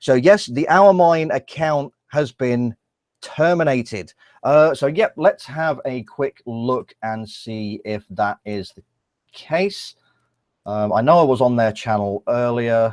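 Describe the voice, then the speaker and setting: A man speaks at a very slow pace in a medium pitch, his intonation lively and his loudness swinging widely. The sound is dry and close, with no echo. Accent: English. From England. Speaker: YouTuber. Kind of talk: live stream commentary. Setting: live stream with screen share. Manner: halting.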